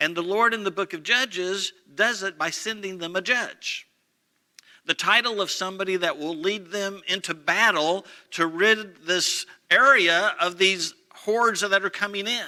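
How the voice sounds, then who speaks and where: A man with a high pitch projects a raised voice in a bright, sharp tone at a moderate pace. His intonation stays fairly even in a very clean recording with a silent background. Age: 60s. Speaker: pastor. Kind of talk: sermon.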